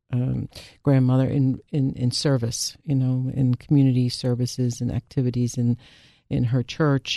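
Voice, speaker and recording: With an American accent, a woman speaks in a very deep, low pitch and a dark, mellow tone. Her intonation is monotone and flat at a moderate pace, with a dry, close sound with no echo. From Philadelphia, Germantown Mount Airy. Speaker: social worker and care management business owner. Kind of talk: radio interview. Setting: radio studio.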